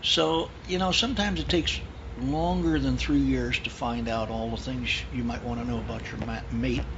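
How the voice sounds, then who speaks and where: A man talks at a moderate pace in a very deep, low voice with monotone, flat intonation. Noticeable background noise and audible room echo surround him. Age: 70s. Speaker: old family friend. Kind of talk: casual chat.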